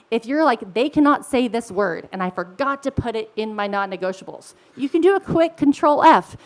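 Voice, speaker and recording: Over noticeable background noise, a woman talks in a high voice with very wide pitch swings. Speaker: product director. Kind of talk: conference presentation. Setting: stage with audience. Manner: fast.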